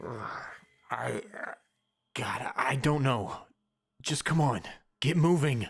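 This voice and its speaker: A raspy, put-on character voice from a man, medium in pitch, at a very slow pace with lively intonation and long, frequent pauses. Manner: angry, shouting.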